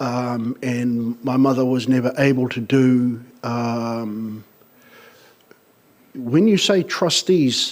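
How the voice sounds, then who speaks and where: This man talks at a medium pitch. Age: 60s. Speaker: tribunal claimant witness. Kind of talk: testimony. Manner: halting.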